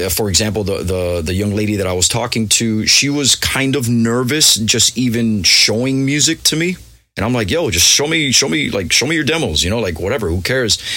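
A man with an American accent talks at a fairly quick pace with hardly any pauses, his medium-pitched voice bright and sharp in tone, his intonation lively, and audible room echo around him. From Miami, US. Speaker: DJ and music producer. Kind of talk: casual interview chat. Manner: halting, many repetitions.

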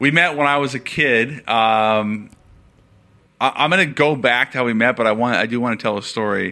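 There is a bright, sharp tone to this man's voice, with ordinary pitch variation and an American accent. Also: medium pitch for a man, moderate pace. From Seattle, US Pacific Northwest. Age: 30s. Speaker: sports insider. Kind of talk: interview. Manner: casual, halting with repetitions.

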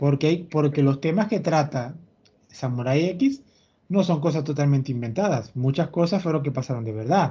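Somewhat breathy, a man speaks at a moderate pace in a fairly high pitch with a dark, mellow tone and ordinary pitch variation. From Venezuela. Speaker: podcast host. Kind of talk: casual chat.

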